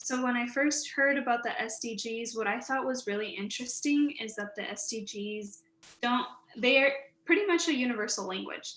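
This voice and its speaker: Set in a room with audible echo, a woman with a Spanish accent talks at a moderate pace in a high voice, with ordinary pitch variation. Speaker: recent graduate, student panelist. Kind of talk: panel discussion.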